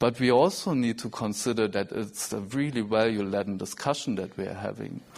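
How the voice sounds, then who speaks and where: A man speaks at a fairly quick pace with hardly any pauses. His pitch variation is ordinary. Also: medium pitch for a man. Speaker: scientist. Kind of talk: conference talk. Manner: halting.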